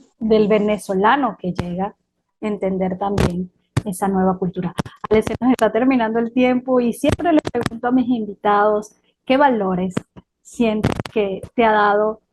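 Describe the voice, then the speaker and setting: A woman speaks at a moderate pace in a normal speaking voice, her pitch fairly high. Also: ordinary pitch variation, dry, close sound with no echo. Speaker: podcast host, interviewer. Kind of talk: interview.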